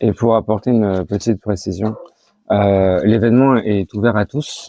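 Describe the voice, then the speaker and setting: A man talks at a moderate pace with fairly low pitch. His intonation stays fairly even. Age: 30s. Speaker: association treasurer. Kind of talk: interview. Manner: hesitant, many fillers.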